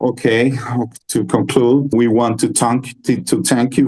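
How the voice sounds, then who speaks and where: Medium-pitched man with a non-native accent and monotone, flat intonation. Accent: non-native English, self-described poor. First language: Spanish. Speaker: metal band musician. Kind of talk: interview. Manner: halting.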